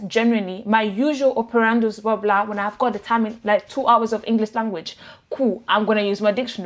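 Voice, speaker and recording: A woman speaks very fast in an Italian accent. Her pitch is fairly high, with ordinary variation. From Italy. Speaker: vlogger. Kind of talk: casual personal vlog. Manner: animated, conversational.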